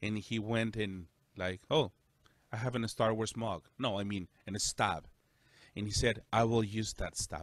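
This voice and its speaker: This man speaks with a Spanish accent in a fairly low pitch. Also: fairly even intonation. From El Salvador. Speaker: pastor. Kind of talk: casual chat.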